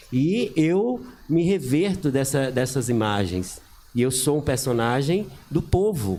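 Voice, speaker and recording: Very slow speech from a man with a dark, mellow tone, very wide pitch swings and very even loudness. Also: medium pitch for a man. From Brazil, Bahia (Paulo Afonso). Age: 60s. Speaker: teacher and local historian. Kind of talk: talk show interview.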